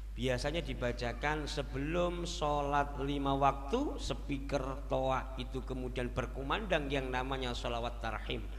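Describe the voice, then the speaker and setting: Audible room echo surrounds a man whose very deep, low voice moves at a fairly slow pace with hardly any pauses. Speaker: Islamic preacher. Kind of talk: sermon. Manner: animated.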